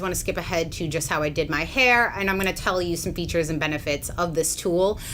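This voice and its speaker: There is audible room echo and noticeable background noise as a woman talks at a fairly low pitch. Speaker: beauty influencer and hairdresser. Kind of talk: hair tutorial vlog. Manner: casual, chatty.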